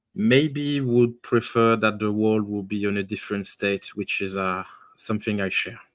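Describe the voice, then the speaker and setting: A man speaks with a strong French accent and fairly even intonation. The recording is very clean, with a silent background. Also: fairly low pitch for a man, moderate pace. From Belgium. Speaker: youtuber and author. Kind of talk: casual chat. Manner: halting.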